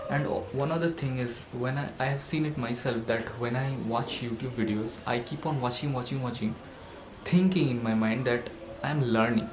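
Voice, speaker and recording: Over noticeable background noise and audible room echo, a man speaks at a moderate pace with a medium pitch and fairly even intonation. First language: not English. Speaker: self-help vlogger. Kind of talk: motivational monologue. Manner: halting, with fillers.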